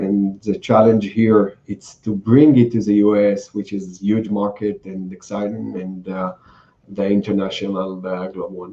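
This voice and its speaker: In an Israeli accent, a man speaks at a moderate pace in a fairly low pitch with a dark, mellow tone. His intonation is monotone and flat, while his loudness swings a lot. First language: Hebrew. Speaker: cybersecurity entrepreneur. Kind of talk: interview. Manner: hesitant, many fillers.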